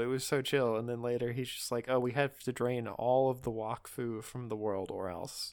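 The recording is very clean, with a silent background. A man speaks at a medium pitch and a moderate pace. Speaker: podcast host. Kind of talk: casual chat. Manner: animated.

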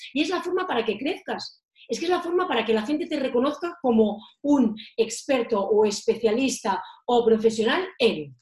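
A woman speaks in an animated tone at a high pitch. Her pitch swings very widely. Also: moderate pace. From Catalonia, Girona. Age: 40s. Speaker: marketing trainer. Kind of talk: interview.

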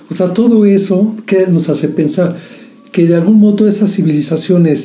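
Through noticeable background noise and audible room echo, a man talks at a moderate pace with a high pitch and ordinary pitch variation. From Mexico. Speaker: podcast co-host. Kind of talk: casual chat.

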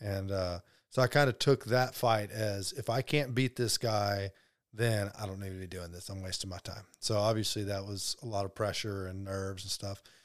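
An unremarkable speaking voice from a man with an American accent, fairly low in pitch, with fairly even intonation at a moderate pace on a very clean recording with a silent background. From US South, Alabama (Birmingham area). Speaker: professional MMA fighter. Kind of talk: casual interview.

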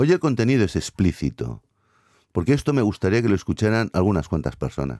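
A man's dark, mellow voice with vocal fry and very wide pitch swings, in a very clean recording with a silent background. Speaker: podcast host. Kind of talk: solo monologue podcast. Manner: hesitant, filler-heavy.

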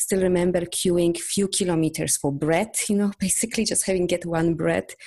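Over a quiet background, a woman with a Polish accent speaks at a moderate pace, her fairly low voice dark and mellow, with ordinary pitch variation. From Poland. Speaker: energy healer and coach. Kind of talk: interview.

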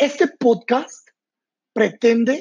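This man's voice sits at an extremely high pitch while keeping a dark, mellow tone. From Mexico, San Luis Potosí. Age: 30s. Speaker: image consultor and podcast host. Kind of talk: motivational monologue.

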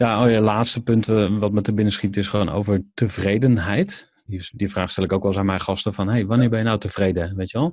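A man's plain, everyday voice, fairly low in pitch, with fairly even intonation against a quiet background. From Netherlands, Overijssel (Kampen/Zwolle). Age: 30s. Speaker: entrepreneur. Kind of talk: casual interview.

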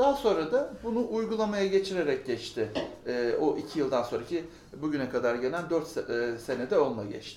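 A man with a fairly high voice talks at a moderate pace with very wide pitch swings. Noticeable background noise and audible room echo surround him. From Ankara, Turkey. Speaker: business consultant. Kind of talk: interview.

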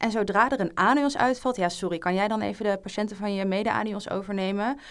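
A woman's plain, everyday voice at medium pitch, with ordinary pitch variation, a fairly quick pace, and a very clean recording over a silent background. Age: 20s. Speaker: junior doctor. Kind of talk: casual chat.

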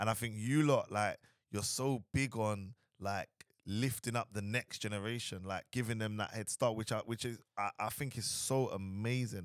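A man speaks at a fairly low pitch with ordinary pitch variation. The recording is very clean, silent in the background, and dry and close with no echo. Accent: London. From Southeast London. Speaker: entrepreneur and marketing agency owner. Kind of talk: casual interview chat.

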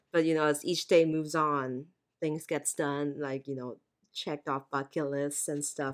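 A woman talks in a very deep, low pitch. Her intonation is monotone and flat. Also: moderate pace. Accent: American. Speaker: podcast host. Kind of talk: casual chat. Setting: video call.

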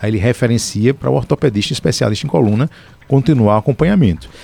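Lively intonation marks this man's speech. His tone is dark and mellow. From Paraíba, Brazil. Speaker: orthopedic surgeon. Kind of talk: radio interview. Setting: radio studio.

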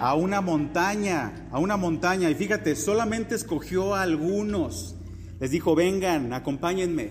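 Audible room echo surrounds a man speaking at a high pitch and a moderate pace. His loudness stays very even, with ordinary pitch variation. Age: 40s. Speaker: pastor. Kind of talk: sermon.

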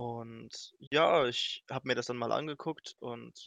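The sound is dry and close with no echo as a man speaks at a medium pitch with vocal fry. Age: 20s. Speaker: speedrunner and streamer. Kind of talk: casual chat.

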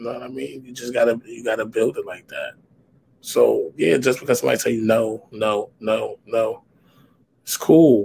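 Speaking with an American accent at a moderate pace, the voice shows big swings in loudness. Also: man. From US Northeast, New York. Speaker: spoken word poet. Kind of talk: casual interview. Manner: aggressive, forceful delivery.

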